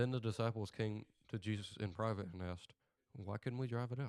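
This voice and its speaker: A man's fairly low voice at a fairly quick pace, fairly even in intonation, dry and close with no echo, on a very clean recording with a silent background. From US South. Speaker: podcast host. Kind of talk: reading aloud. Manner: halting.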